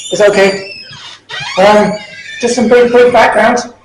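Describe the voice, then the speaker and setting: This man's voice sits high in pitch and stays fairly even in intonation. Room echo can be heard around him. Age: 60s. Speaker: parliamentary candidate. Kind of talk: political speech. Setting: public meeting in a club hall.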